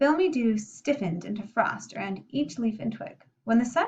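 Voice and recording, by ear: The intonation is lively. A natural voice reads aloud against a quiet background.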